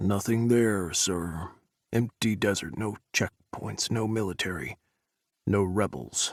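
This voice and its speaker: In a dry, close sound with no echo, a man puts on a character voice at a fairly low pitch and a fairly slow pace. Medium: read story. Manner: clipped.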